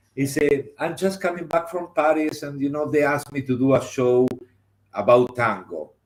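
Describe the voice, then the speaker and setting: A man speaks with a Spanish accent at a fairly slow pace. His pitch sits fairly high. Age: 60s. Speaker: theater director and designer. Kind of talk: interview. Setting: live stream. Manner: animated.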